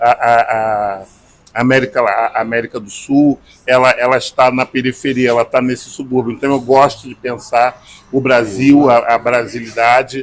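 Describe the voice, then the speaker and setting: Speaking with a Carioca accent, this man has a medium pitch. His pace is moderate and his intonation monotone and flat. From Rio de Janeiro, Brazil. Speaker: singer-songwriter and journalist. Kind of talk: interview answer.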